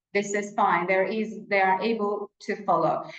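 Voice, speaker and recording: A woman with a Turkish accent talks at a moderate pace and fairly high pitch, with audible room echo around her. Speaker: English teacher educator, webinar presenter. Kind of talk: webinar lecture. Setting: online webinar with shared screen.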